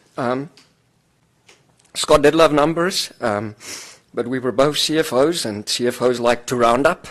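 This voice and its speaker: With a South African accent, a man speaks fairly slowly at a medium pitch, using ordinary pitch variation and long, frequent pauses. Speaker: finance executive. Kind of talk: eulogy. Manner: halting, many fillers.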